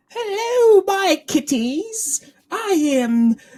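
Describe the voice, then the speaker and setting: It's a put-on character voice, squeaky and extremely high-pitched, with very wide pitch swings. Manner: creepy, theatrical.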